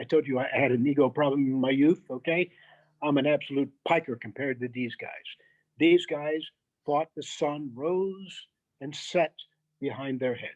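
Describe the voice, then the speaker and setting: Moderate pace in an American accent, with fairly even intonation and long, frequent pauses. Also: man, fairly high pitch for a man. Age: 60s. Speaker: former military officer and security adviser. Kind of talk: podcast interview.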